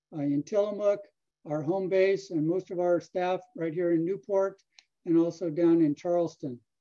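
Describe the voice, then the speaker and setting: A man's high-pitched voice with a dark, mellow tone, fairly even intonation and a moderate pace over a quiet background. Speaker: fisheries scientist. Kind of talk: research talk. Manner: halting. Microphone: video call.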